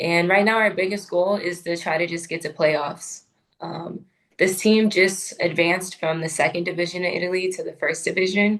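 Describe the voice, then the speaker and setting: Her pitch sits in the medium range, and she keeps a moderate pace. The woman's intonation is monotone and flat. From California. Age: 20s. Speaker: professional basketball player. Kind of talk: interview.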